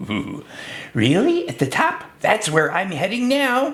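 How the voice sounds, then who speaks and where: A put-on character voice, fairly high in pitch with very wide pitch swings, at a fairly slow pace. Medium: read story. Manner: eager.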